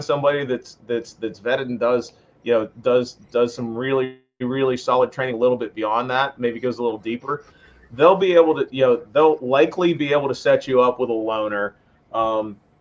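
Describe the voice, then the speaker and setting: A man with an unremarkable speaking voice talks in an American accent. His pitch is medium, his pace moderate and his intonation fairly even. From western Pennsylvania. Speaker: firearms instructor. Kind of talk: podcast interview.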